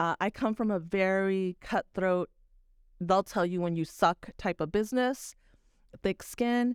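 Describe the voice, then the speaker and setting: On a very clean recording with a silent background, a woman talks at a fairly slow pace in a normal speaking voice, medium in pitch with ordinary pitch variation. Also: dry, close sound with no echo. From Texas. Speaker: video producer and teacher. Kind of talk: casual chat.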